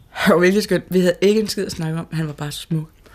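Noticeable background noise sits behind a woman's voice. She has a fairly low pitch and talks at a very fast pace. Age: 20s. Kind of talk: interview testimony.

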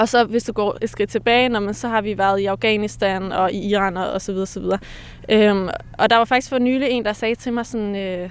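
A woman's unremarkable speaking voice at a medium pitch, with fairly even intonation and a moderate pace. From Denmark, Pakistani Punjabi heritage. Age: young. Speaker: poet, artist and psychologist. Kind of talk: interview conversation. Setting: outdoors in a cemetery.

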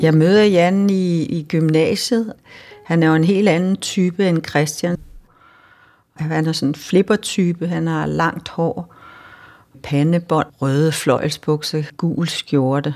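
A woman talks at a very slow pace and fairly low pitch with ordinary pitch variation, with music in the background. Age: 60s. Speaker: storyteller sharing life story. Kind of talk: personal testimony. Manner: halting.

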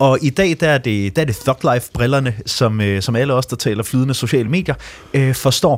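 Here is an unremarkable speaking voice with ordinary pitch variation. The pace is moderate. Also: man, medium pitch for a man. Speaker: digital education consultant. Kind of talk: radio panel discussion. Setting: remote studio.

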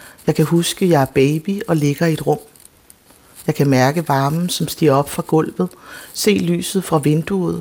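A woman speaks at a fairly slow pace in a very deep, low voice, with ordinary pitch variation. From Denmark, adopted from South Korea. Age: 40s. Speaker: playwright. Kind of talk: radio interview. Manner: halting.

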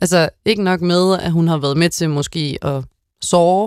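A woman with a plain, everyday voice, fairly low in pitch, with ordinary pitch variation and a fairly slow pace, in a dry, close sound with no echo and a very clean recording with a silent background. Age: 20s. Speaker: tv host. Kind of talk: casual chat.

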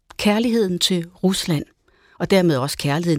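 In a plain, everyday voice, a woman at medium pitch speaks with lively intonation, the sound dry and close with no echo. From Denmark. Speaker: radio host. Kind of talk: radio interview.

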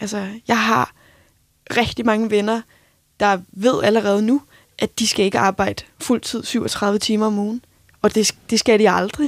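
A fairly high-pitched woman at a fairly slow pace, with fairly even intonation and long, frequent pauses, in a dry, close sound with no echo. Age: 20s. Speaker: radio producer. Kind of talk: casual chat.

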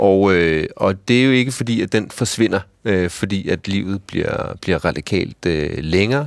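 This man's pitch sits fairly low, with ordinary variation. He talks at a fairly slow pace. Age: 40s. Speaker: ethnologist and university lecturer. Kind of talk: radio discussion. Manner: halting.

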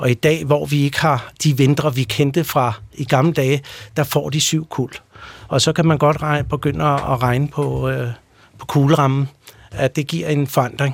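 Speaking at a fairly slow pace, this man has a plain, everyday voice, a fairly high pitch and fairly even intonation. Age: 40s. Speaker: pest control company executive. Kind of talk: radio interview.

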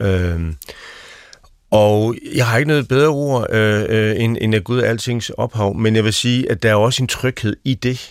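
In a very clean recording with a silent background, a man talks at a fairly slow pace with a medium pitch. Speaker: pastor. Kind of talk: panel discussion. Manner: halting.

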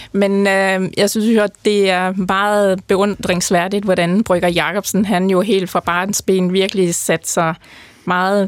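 A woman's medium-pitched voice at a very slow pace, monotone and flat in intonation, with very even loudness. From North Jutland, Denmark. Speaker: brewing scientist. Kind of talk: interview.

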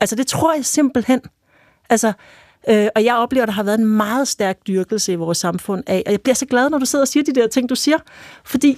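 Close and dry with no echo, a woman talks in a high voice at a fairly quick pace. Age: 40s. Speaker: journalist and author. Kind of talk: casual chat.

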